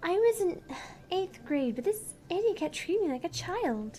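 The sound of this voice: In a put-on character voice, a woman speaks at an extremely high pitch with big pitch swings, a dark, mellow tone and a slow pace.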